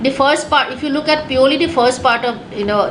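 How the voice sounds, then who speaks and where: A woman speaks at a high pitch with ordinary pitch variation. There is audible room echo and noticeable background noise. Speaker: test prep teacher. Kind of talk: online class lecture. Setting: webinar. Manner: fast; halting, many fillers.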